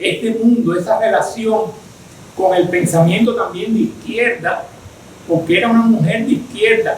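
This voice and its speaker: Over noticeable background noise and audible room echo, a man with a high pitch talks at a moderate pace with ordinary pitch variation. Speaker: architect and design researcher giving a lecture. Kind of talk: lecture with Q&A discussion. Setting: virtual online event. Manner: hesitant, with fillers and repetitions.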